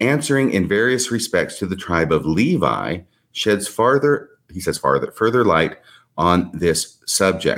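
At a moderate pace, a man uses lively intonation in a normal speaking voice. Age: 60s. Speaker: podcast guest discussing religious history. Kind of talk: casual chat. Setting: video call.

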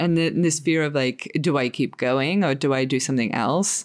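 Moderate pace, ordinary pitch variation, and an Australian accent. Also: woman. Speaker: podcast host. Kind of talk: casual interview conversation.

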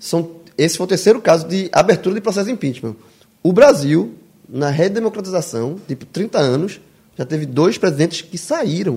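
Lively in intonation, a man talks at a moderate pace with a high pitch and a dark, mellow tone. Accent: Brazilian. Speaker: podcast co-host. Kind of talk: casual chat.

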